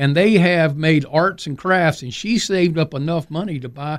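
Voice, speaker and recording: A man talks in a plain, everyday voice at a moderate pace, with fairly high pitch and ordinary pitch variation. The recording is very clean, with a silent background. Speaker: maintenance expert and maker movement advocate. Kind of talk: casual radio interview. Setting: radio studio.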